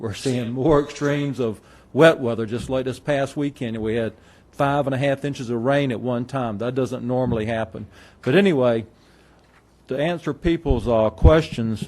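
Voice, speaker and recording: In a North Carolina accent, a man at a medium pitch speaks at a moderate pace with ordinary pitch variation. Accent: North Carolina Southern. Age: 60s. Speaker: farmer. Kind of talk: public comment.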